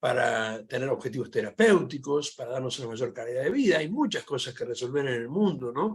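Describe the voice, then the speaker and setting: Hardly pausing, a man talks at a fairly quick pace and medium pitch, somewhat breathy, with lively intonation. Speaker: philosophy professor. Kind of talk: panel discussion Q&A. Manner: fast.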